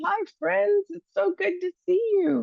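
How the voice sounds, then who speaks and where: The delivery has a fairly slow pace and lively intonation. The sound is dry and close, with no echo. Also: woman. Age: 60s. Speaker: psychotherapist for seniors. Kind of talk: talk to a church group. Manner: halting.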